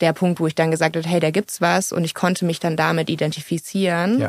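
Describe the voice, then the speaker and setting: A woman speaks with a normal speaking voice at a fairly low pitch. Her intonation is fairly even. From Munich, Bavaria. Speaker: social entrepreneur. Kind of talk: interview. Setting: studio.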